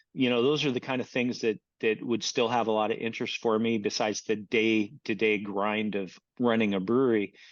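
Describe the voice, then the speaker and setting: A man with an American accent talks fairly quickly in a medium pitch. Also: fairly even intonation. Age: 60s. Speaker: brewer and author. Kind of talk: podcast interview. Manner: halting, many repeated words.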